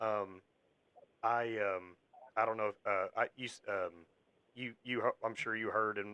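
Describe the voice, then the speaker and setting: With an American accent, a man speaks in a monotone, flat way at a fairly low pitch, his tone bright and sharp and the sound dry and close with no echo. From Kentucky. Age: 30s. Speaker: wrestling podcast host and ring announcer. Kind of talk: casual interview chat. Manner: halting, many fillers.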